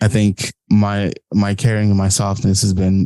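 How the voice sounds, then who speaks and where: Mumbling man with a fairly low pitch and a dark, mellow tone, dry and close with no echo in a very clean recording with a silent background. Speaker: podcast editor and guest. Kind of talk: casual interview chat. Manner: mumbles, runs words together.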